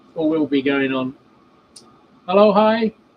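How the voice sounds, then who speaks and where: A relaxed, fairly slow man's voice with an English accent. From England. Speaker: model railway hobbyist streamer. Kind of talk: casual live stream chat. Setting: cold outdoor shed at home. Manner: relaxed, halting with fillers.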